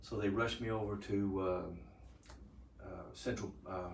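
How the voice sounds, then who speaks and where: Audible room echo surrounds a man with an American accent. His pitch is fairly low and his pace moderate. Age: 60s. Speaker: retired EMS worker, patient. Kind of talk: patient testimony. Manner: halting.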